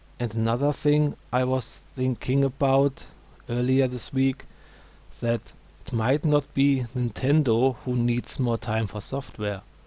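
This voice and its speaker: A man with a non-native accent speaks slowly-ish in a dark, mellow tone with monotone, flat intonation. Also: medium pitch for a man. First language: not English. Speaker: gaming YouTuber. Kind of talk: video commentary.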